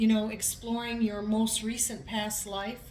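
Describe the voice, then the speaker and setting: A woman's voice is heard with audible room echo and noticeable background noise. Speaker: tarot reader. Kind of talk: tarot reading.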